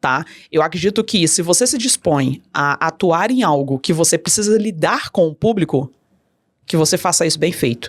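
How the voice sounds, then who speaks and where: In a very clean recording with a silent background and a dry, close sound with no echo, a woman talks in a plain, everyday voice. Her pitch is fairly low, her pace moderate and her intonation lively. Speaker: customer experience consultant. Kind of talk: podcast interview.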